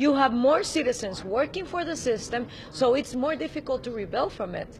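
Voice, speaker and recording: A woman talks at a fairly quick pace with a high pitch and lively intonation. Noticeable background noise can be heard. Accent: Spanish. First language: Spanish. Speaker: political commentator. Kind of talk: interview. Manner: halting.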